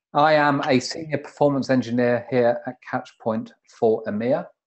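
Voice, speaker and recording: With a British accent, a man speaks at a moderate pace and fairly even intonation. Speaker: webinar moderator, performance engineer. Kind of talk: webinar introduction. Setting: video conference.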